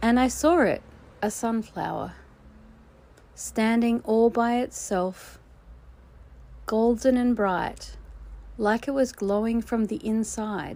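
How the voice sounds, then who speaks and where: Soft-spoken and gentle in tone, a woman with an Australian accent talks very slowly with long, frequent pauses. The recording is very clean, the background silent. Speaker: children's storyteller. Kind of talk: children's read story. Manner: soft-spoken, gentle, with pauses.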